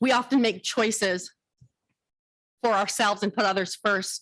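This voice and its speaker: Her pitch is fairly high, with ordinary pitch variation. The woman speaks at a moderate pace. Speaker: county social services worker speaking at public comment. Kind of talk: public comment speech. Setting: county board meeting. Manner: emotional.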